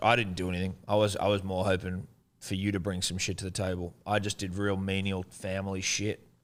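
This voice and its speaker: A man's fairly low voice in an Australian accent at a fairly quick pace. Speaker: podcast host. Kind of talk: casual chat.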